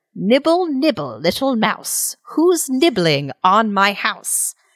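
A female-sounding voice does a put-on character voice at a fairly high pitch, moving at a very slow pace with very wide pitch swings. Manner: sing-song, creepy.

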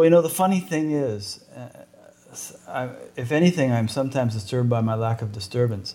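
A man with an ordinary speaking voice talks at medium pitch and a fairly quick pace with lively intonation. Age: 60s. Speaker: podcast interviewer. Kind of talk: interview. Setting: in person at guest's house.

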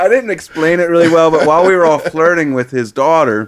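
A man with a Philadelphia accent at a fairly quick pace. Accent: Philadelphia-area American. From US, Chester, Pennsylvania (Philadelphia area). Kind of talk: casual interview storytelling. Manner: halting, many fillers and repeats.

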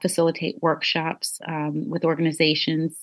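A woman's fairly low-pitched, fairly slow delivery in an ordinary speaking voice. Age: 40s. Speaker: anti-trafficking advocate and survivor. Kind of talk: interview.

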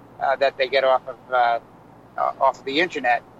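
A man's voice sounds dry and close with no echo, with noticeable background noise behind it. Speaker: clinic operator and guest. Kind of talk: casual chat.

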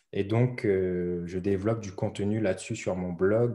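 A man speaks at a very slow pace in a fairly low pitch, his tone dark and mellow. His intonation is fairly even, and the background is quiet. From La Réunion. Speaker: blogger, online business coach. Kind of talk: interview. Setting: video call. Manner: hesitant, many fillers and repetitions.

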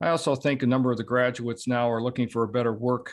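A man speaks with monotone, flat intonation over a quiet background. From Southeast Michigan. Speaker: dentist and practice consultant. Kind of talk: interview. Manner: halting, many fillers.

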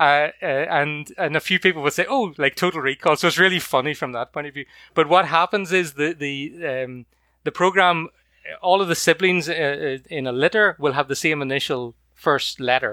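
A man with a Northern Irish accent speaks at a moderate pace in a fairly high, bright, sharp voice with ordinary pitch variation, recorded dry and close with no echo in a very clean recording with a silent background. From County Antrim, Northern Ireland. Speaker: guest, puppy raiser. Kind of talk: casual interview chat.

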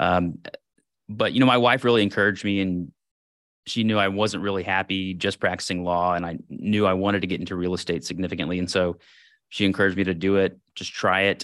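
Over a silent background in a very clean recording, a man with a very deep, low pitch talks at a very fast pace with fairly even intonation. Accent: American. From Texas, Houston. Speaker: real estate investor and former attorney. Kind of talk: interview.

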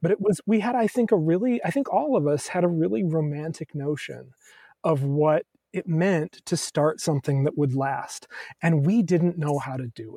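A man talks at a moderate pace in a fairly high pitch, his intonation lively and his tone dark and mellow. His loudness swings widely, and the sound is dry and close with no echo. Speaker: music writer and former college radio music director. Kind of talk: casual chat. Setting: video call. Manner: animated.

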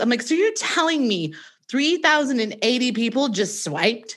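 Against a quiet background, a woman speaks at a high pitch and moderate pace, her voice making very wide pitch swings. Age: 30s. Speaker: podcast host and podcast coach. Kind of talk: interview conversation.

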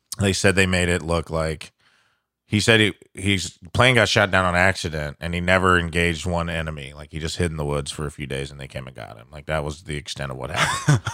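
A man speaks at a fairly quick pace with a very deep, low pitch, a bright, sharp tone, vocal fry and big swings in loudness. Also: ordinary pitch variation, very clean recording, silent background. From Southern Illinois. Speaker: stand-up comedian. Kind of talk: casual chat. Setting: studio.

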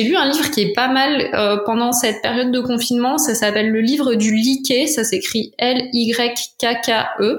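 A woman at a high pitch and a very slow pace, with audible room echo. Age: 30s. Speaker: cycling blogger and influencer. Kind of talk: casual interview. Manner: hesitant, many fillers.

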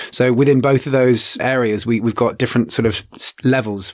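The speaker has an English accent and fairly even intonation, moving at a moderate pace. Noticeable background noise is present. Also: man. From England. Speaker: astronomy educator. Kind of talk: interview. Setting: studio.

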